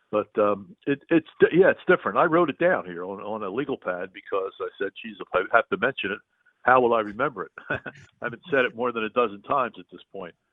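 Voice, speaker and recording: A man with an ordinary speaking voice talks at a medium pitch, with lively intonation and big swings in loudness. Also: fairly quick pace. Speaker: public address announcer for a professional hockey team. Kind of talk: interview answer, casual phone conversation. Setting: phone line.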